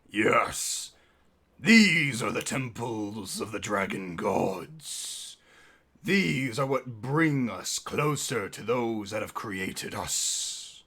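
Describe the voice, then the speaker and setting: A man puts on a character voice at medium pitch and a very slow pace. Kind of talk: solemn, ceremonial.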